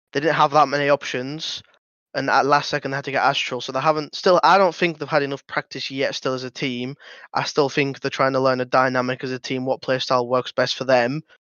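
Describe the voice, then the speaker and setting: With a British accent, a man talks at a fairly quick pace in a fairly high pitch. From Britain. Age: 20s. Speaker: pro esports player. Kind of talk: casual chat.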